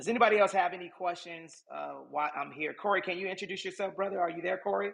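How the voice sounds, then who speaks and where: The voice is loud. The pace is very fast. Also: man. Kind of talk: live social audio room talk. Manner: animated.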